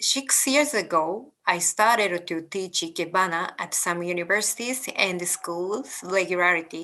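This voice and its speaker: Speaking with a Japanese accent, a woman with a medium pitch and a bright, sharp tone talks at a fairly slow pace with ordinary pitch variation and hardly any pauses. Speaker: ikebana teacher. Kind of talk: lecture. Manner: halting.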